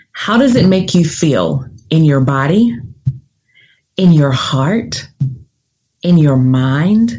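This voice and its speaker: A woman's very deep, low-pitched, dark and mellow voice in a Southern US accent, somewhat breathy and calm, with very wide pitch swings, very even loudness, a very slow pace and long, frequent pauses. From US South, Nashville, Tennessee. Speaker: career coach and podcast host. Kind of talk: guided visualization, second-person imagery leading the listener down a forked path. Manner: deliberately slowed, calm pacing with reflective pauses during the visualization.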